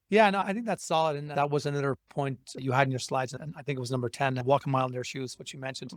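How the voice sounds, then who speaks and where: At a very fast pace with hardly any pauses, this voice with an Irish accent shows ordinary pitch variation in a very clean recording with a silent background. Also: man, fairly high pitch for a man. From Ireland. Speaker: podcast host. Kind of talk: podcast interview.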